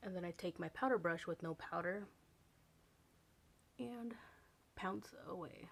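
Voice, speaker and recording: Fairly slow with long, frequent pauses, a woman talks in a fairly low voice with vocal fry and lively intonation. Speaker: beauty vlogger. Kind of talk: makeup tutorial. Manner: soft-spoken.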